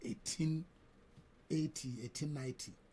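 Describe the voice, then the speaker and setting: A man's dark, mellow, somewhat breathy voice with ordinary pitch variation. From Nigeria, Niger State (Badeggi, Nupe area). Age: 70s. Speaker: radio station chief executive. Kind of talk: radio interview. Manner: halting, repeats words.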